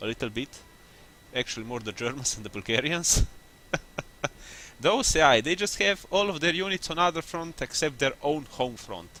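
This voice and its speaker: Pitched fairly high, a man speaks at a moderate pace with very wide pitch swings and long, frequent pauses. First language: not English. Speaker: gaming youtuber. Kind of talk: gameplay commentary. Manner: casual, halting with self-corrections.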